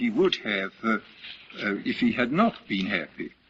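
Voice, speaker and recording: With an English accent, a man talks at a fairly slow pace, his pitch swinging very widely. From Britain. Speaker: writer and philosopher. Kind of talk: lecture.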